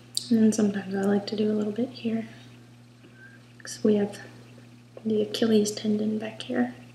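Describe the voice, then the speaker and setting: Soft-spoken and at a fairly quick pace, the speech has long, frequent pauses over noticeable background noise. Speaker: doll artist. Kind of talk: craft demonstration.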